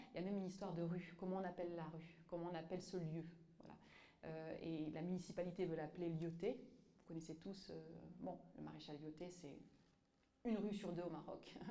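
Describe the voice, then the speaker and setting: Speech comes at a fairly quick pace with fairly even intonation and long, frequent pauses. Audible room echo surrounds it. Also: woman, fairly low pitch for a woman. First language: Tamazight (speaking French). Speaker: author and activist. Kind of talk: public talk with audience. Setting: museum exhibition with live audience. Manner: halting, many fillers and repetitions.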